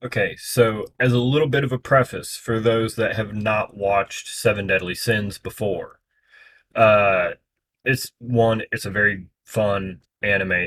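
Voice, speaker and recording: A man talks in a normal speaking voice at a medium pitch, with fairly even intonation and a fairly slow pace. The recording is very clean, with a silent background. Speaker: reaction youtuber. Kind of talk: casual reaction commentary.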